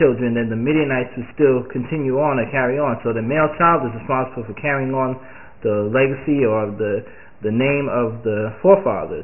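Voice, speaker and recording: A man talks fairly quickly, his pitch shifting in a normal way. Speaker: home bible teacher. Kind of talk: biblical commentary. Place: home room. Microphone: webcam.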